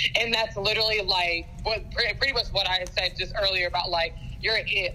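A woman talks at a fairly quick pace with fairly even intonation. Noticeable background noise is present. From US South, Georgia. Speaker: sports team photographer. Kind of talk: interview.

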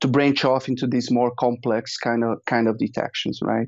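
A man with a Portuguese accent speaks at a medium pitch in a monotone, flat intonation. The background is quiet. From Brazil. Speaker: data scientist. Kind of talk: interview.

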